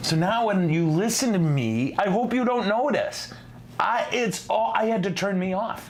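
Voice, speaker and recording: The speaker's tone is animated, with lively intonation, very even loudness and a moderate pace, heard through audible room echo and noticeable background noise. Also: man, high pitch for a man. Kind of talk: live-streamed teaching show.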